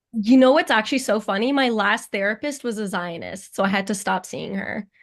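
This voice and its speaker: Vocal fry marks this voice, which moves at a moderate pace with ordinary pitch variation against a quiet background. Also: woman. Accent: Canadian. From Canada (Ottawa). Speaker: comedian. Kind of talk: stand-up banter with host.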